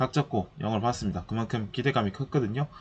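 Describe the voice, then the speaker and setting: This man's voice is pitched in the middle range. Its rise and fall is ordinary. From Busan, South Korea. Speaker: movie review podcaster. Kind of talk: casual solo review talk.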